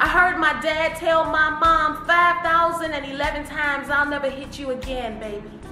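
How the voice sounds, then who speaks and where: A woman with an American accent speaks in a raised, projected voice at a high pitch. Her pace is moderate, with music playing in the background. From Detroit, Michigan. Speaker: spoken word poet. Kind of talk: poetry reading. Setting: studio.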